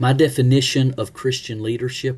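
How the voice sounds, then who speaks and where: A somewhat breathy man with an Alabama accent. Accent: Southern US (Alabama). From US South, Alabama (Leeds, near Birmingham). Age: 40s. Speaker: pastor. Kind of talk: self-introduction for a class.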